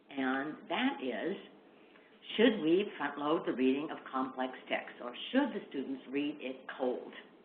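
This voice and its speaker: Lively intonation comes through at a fairly slow pace, with audible room echo around the voice. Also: woman, very deep, low pitch for a woman. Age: 60s. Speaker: literacy education expert. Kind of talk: webinar lecture. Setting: online webinar.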